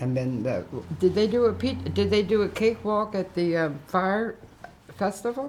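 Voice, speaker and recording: Lively intonation marks this woman's plain, everyday voice, which sits at medium pitch and moves at a moderate pace. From Marshallton, Pennsylvania. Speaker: longtime village resident, oral history interviewee. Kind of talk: oral history interview answer.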